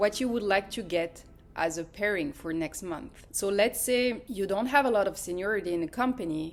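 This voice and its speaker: Music plays in the background as a woman with a French accent speaks at a medium pitch with ordinary pitch variation. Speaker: pilot's wife and family vlogger. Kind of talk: casual explainer vlog.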